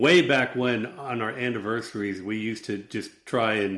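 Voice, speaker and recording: This man talks at a fairly low pitch. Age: 60s. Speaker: novelist and former intelligence officer. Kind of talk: casual chat. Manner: halting.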